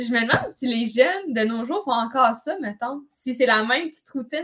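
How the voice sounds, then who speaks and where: With a Quebec accent, a woman talks fairly quickly in a high pitch with lively intonation. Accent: Québécois French. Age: 20s. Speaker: podcast co-host, physical education teacher. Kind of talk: casual chat.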